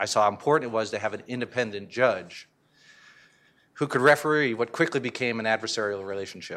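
A man with an American accent talks at a very fast pace and a medium pitch, with ordinary pitch variation and a bright, sharp tone. The recording is very clean, with a silent background. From Connecticut. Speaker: criminal justice reform advocate. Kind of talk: conference panel talk. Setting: stage with audience.

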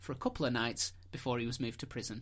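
A very fast, playful delivery with a northern English accent, on a very clean recording with a silent background. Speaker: podcast host. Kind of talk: casual chat, storytelling. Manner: playful, joking.

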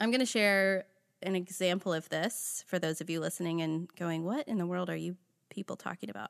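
A woman's normal speaking voice, fairly low-pitched, with ordinary pitch variation and a fairly quick pace, dry and close with no echo over a quiet background. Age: 30s. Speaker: podcast host and family therapist. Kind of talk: casual chat.

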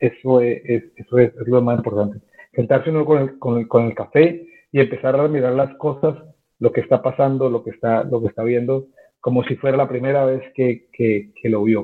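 A man's medium-pitched voice holds fairly even intonation as he talks at a moderate pace. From Colombia. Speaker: football league content manager. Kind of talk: interview. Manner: halting, many repetitions.

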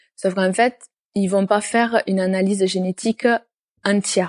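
In a southern French accent, a woman speaks at a fairly slow pace with a medium pitch and a dark, mellow tone, the sound dry and close with no echo. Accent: southern French, sing-song. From southern France. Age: 20s. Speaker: nurse and firefighter. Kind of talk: personal testimony interview.

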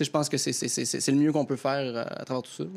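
The pitch is fairly high. The speaker is a man. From Quebec, Lanaudière near Joliette. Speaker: comedian. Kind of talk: panel discussion.

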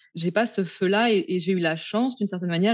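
A woman is talking. Her pace is very fast. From France, Paris suburbs. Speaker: sociologist and feminist activist. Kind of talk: interview.

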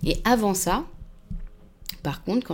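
Vocal fry runs through this woman's voice. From Paris suburbs, France. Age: 20s. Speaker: communications agency worker. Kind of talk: casual interview. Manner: hesitant, many fillers.

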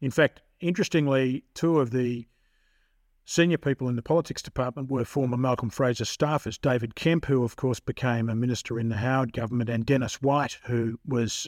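Speaking at a moderate pace with an Australian accent, a man comes through in a dry, close sound with no echo. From Victoria, Australia. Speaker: criminal barrister. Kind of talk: interview. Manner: halting, with frequent fillers.

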